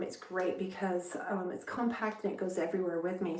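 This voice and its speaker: A woman's upbeat, fairly quick voice over noticeable background noise. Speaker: actor, voiceover artist, content creator. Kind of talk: casual talk to camera. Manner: casual, chatty, upbeat.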